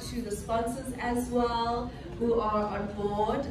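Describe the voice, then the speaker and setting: A woman is speaking over noticeable background noise. Room echo is audible. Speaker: event host. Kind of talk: welcome speech. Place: hall. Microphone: pa.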